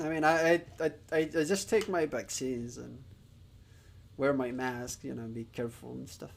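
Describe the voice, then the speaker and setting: The speaker has a Spanish accent and talks at a moderate pace. The intonation is lively, and the loudness swings widely. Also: man, medium pitch for a man. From Spain. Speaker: streamer learning Japanese. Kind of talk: live stream chat. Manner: halting, many fillers.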